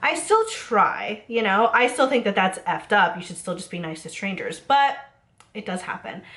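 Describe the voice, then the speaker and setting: Animated in tone, a woman with a fairly high pitch speaks at a fairly quick pace with ordinary pitch variation. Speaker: server and bartender, beauty youtuber. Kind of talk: casual storytime rant to camera. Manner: chatty, animated, sarcastic.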